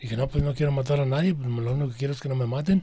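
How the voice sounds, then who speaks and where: A man speaks at a medium pitch with fairly even intonation. His voice is somewhat breathy, with a dark, mellow tone. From Mexico, Guadalajara (Jalisco). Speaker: former student activist. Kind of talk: interview testimony.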